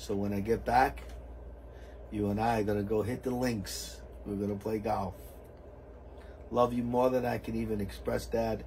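At a moderate pace and a fairly low pitch, a man speaks with lively intonation and long, frequent pauses, with light background noise behind him. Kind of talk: reading a letter aloud. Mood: moved, emotional. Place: plane. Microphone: camera far.

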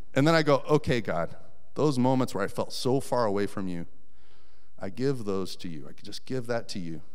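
Speaking at a fairly quick pace over a quiet background, a man with an American accent uses a medium pitch and lively intonation. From Colorado. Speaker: volunteer preacher. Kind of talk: sermon. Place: church. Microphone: handheld.

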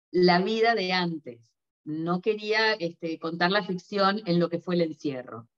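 A woman with a fairly low pitch at a very slow pace, ordinary pitch variation and a quiet background. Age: 50s. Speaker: novelist; interviewee. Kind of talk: interview; interview answer. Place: home room. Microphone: video call.

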